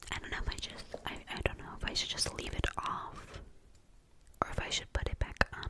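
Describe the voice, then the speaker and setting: A woman whispers. Her pace is fairly quick. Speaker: ASMR creator. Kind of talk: casual talk to camera. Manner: close whispered, soft. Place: home room. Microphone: studio mic.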